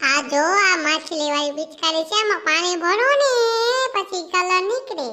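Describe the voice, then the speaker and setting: Using a squeaky, cartoonish character voice at an extremely high pitch, a woman speaks fairly slowly with lively intonation and very even loudness. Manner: smooth, persuasive.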